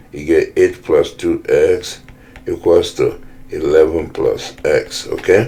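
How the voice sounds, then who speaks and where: A man's extremely high-pitched voice, very slow and monotone with flat intonation, over noticeable background noise. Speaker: math teacher. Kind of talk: lecture. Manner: casual, halting with self-corrections.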